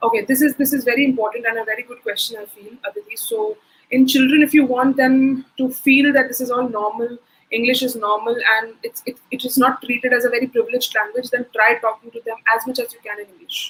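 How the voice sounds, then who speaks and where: A woman's high-pitched voice in an Indian accent at a very fast pace, with fairly even intonation and big swings in loudness. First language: Hindi. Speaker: soft skills trainer. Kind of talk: webinar Q&A.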